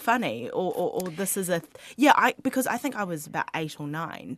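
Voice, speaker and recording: A woman with a New Zealand accent, fairly quick pace, very wide pitch swings and vocal fry. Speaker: radio host. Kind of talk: radio interview. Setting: studio.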